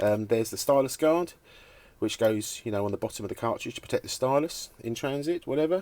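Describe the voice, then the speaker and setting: A man speaks at a very fast pace with a British accent. His intonation is lively. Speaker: vintage record player restorer. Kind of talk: tutorial. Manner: halting, many fillers.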